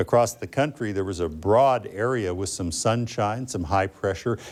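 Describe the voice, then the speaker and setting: Here is a man with an unremarkable speaking voice, fairly low in pitch with ordinary pitch variation. He talks at a fairly quick pace in a very clean recording with a silent background. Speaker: weather forecaster / meteorologist. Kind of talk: television weather forecast.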